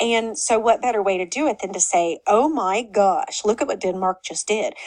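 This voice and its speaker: With an Oklahoma accent, a woman speaks at a fairly high pitch. Her pace is moderate and her pitch varies in an ordinary way. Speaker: history teacher. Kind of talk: lecture. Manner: casual, conversational.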